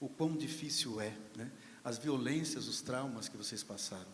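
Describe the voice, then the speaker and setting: At a moderate pace, a man speaks in a normal speaking voice at a medium pitch with ordinary pitch variation. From Brazil, São Carlos (São Paulo state). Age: 60s. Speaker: panel speaker at literary event. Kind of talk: panel discussion remarks.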